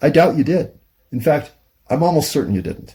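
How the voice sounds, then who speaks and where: The speaker talks at a very fast pace with lively intonation and vocal fry. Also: man. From United States. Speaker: YouTube monologue host. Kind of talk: casual monologue. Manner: halting, pauses to find words.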